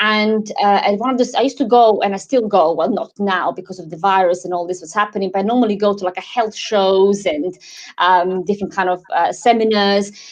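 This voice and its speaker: Speaking with a slight Croatian accent, a woman with a medium pitch and ordinary pitch variation goes at a fairly quick pace with hardly any pauses and big swings in loudness over a quiet background. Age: 40s. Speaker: wellness advocate. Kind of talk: interview. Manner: halting.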